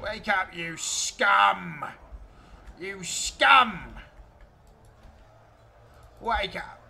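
A put-on character voice at a middle pitch, very slow, with long, frequent pauses. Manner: barking commands, aggressive.

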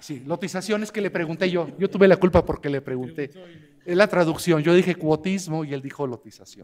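A man speaks at a high pitch and a fairly quick pace. His loudness swings widely. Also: ordinary pitch variation. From Mexico. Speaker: law scholar, commentator; commentator. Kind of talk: panel commentary. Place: hall. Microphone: podium.

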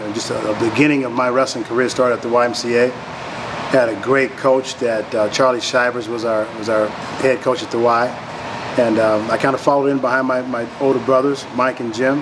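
Noticeable background noise runs under a man's voice. He talks fairly quickly in a flat monotone. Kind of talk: interview answer. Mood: relaxed, warm.

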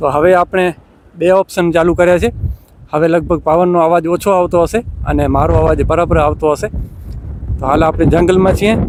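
Over noticeable background noise, a man speaks in a high pitch with fairly even intonation and very even loudness. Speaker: vlogger. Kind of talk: casual vlog narration / product review. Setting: outdoors in forest.

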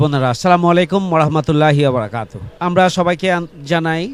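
Noticeable noise fills the background. A man talks with a fairly high pitch. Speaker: city-level political party leader. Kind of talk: political speech at a ceremony. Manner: formal.

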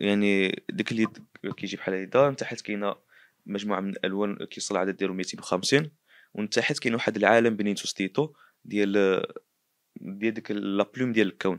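With a fairly low pitch and fairly even intonation, a man speaks at a fairly quick pace in a dry recording with no echo and a quiet background. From Morocco. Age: 20s. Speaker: painter and artist; interviewee. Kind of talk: interview testimony. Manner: halting. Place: home room. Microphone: handheld.

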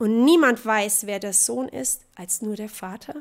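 Against a quiet background, a woman speaks at a fairly slow pace. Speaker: preacher. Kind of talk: sermon, preacher in full flow, passionate and urgent. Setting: church. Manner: animated, emphatic, mocking tone with laughter and rhetorical questions; rhythmic, repeating contrasts in pulpit style. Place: church.

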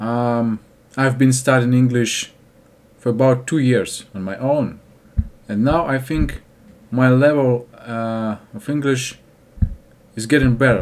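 Speaking at a very slow pace, a man leaves long, frequent pauses. His medium-pitched voice keeps a fairly even intonation. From Russia. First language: Russian. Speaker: English learner vlogger. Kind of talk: casual talk to camera. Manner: hesitant, halting. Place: home room. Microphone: webcam.

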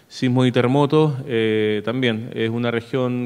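A man speaks at a fairly slow pace. His intonation is monotone and flat. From Chile, La Serena; Chile. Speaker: emergency management official; presenter. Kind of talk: conference presentation. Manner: hesitant, frequent filler eh. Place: hall. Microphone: podium.

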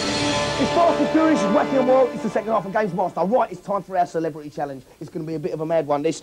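A man talks at a very fast pace with hardly any pauses. Clear music plays in the background. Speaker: TV game show host. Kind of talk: TV game show presenting. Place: studio.

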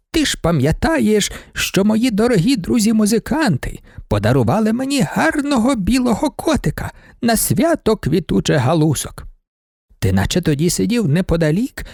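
Putting on a character voice, a man speaks at a high pitch with very wide pitch swings and a moderate pace. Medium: read story. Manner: chatty, rambling, gently pleading.

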